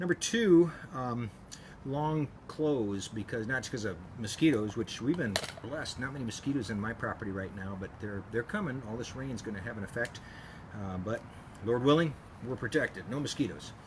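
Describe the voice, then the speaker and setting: The speech moves at a moderate pace with lively intonation. There is noticeable background noise. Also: man, medium pitch for a man. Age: 60s. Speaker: chiropractor. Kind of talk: casual tutorial. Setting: outdoors at home. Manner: relaxed, hesitant with many fillers.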